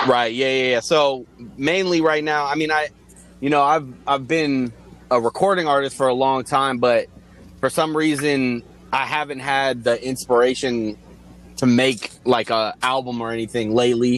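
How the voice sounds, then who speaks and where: With a plain, everyday voice, a man of medium pitch talks at a moderate pace and fairly even intonation. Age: 30s. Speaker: music video director, beat producer and rapper. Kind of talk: casual chat.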